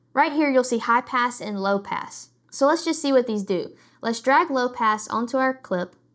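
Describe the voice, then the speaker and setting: Over a silent background on a very clean recording, a woman speaks at a fairly high pitch. Her pace is moderate and her pitch varies in an ordinary way. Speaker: video editing tutorial creator. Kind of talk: tutorial.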